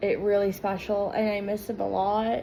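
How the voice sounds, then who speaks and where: A woman with a fairly high voice speaks at a moderate pace against noticeable background noise. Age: 20s. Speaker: vlogger. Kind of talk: casual vlog talk.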